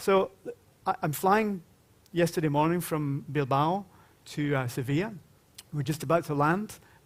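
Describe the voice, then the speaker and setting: A man with a Glaswegian accent and a fairly high voice talks at a moderate pace with ordinary pitch variation and long, frequent pauses. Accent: Glaswegian Scottish. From Scotland, Glasgow. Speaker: panel moderator. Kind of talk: conference panel introduction. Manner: informal, humorous storytelling.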